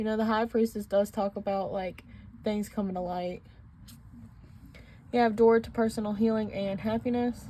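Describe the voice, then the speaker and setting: Speaking at a moderate pace and a medium pitch, a woman has a somewhat breathy, dark, mellow tone with monotone, flat intonation. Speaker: tarot reader. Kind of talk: tarot reading. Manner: casual; stuttering.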